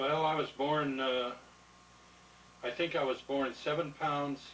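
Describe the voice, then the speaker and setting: A man talks at a medium pitch while noticeable noise carries on behind him. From Nebraska. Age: 60s. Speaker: war veteran. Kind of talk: oral history interview. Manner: halting.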